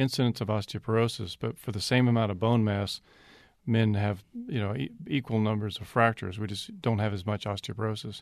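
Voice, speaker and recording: A man speaks in a normal speaking voice at medium pitch, fairly quickly and with fairly even intonation, against a quiet background. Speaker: orthopedic surgeon. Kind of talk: radio interview. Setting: studio.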